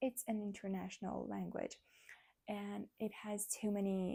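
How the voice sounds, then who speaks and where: A woman talks at a fairly slow pace. She speaks with a non-native accent. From Armenian community in Iran. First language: Armenian. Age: 20s. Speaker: vlogger. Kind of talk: casual chat. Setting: nighttime talk at home.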